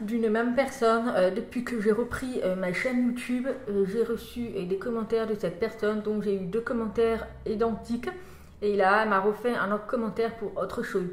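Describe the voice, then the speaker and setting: Noticeable background noise sits behind a woman with a fairly high pitch. She talks at a moderate pace with fairly even intonation. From France. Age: 30s. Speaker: vlogger. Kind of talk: casual vlog talk.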